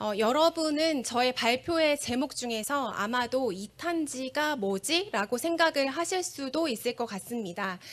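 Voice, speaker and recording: With lively intonation, the speech unfolds at a fairly slow pace. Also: woman, high pitch for a woman. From Korea. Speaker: forest researcher. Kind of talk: conference presentation. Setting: stage with audience. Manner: formal.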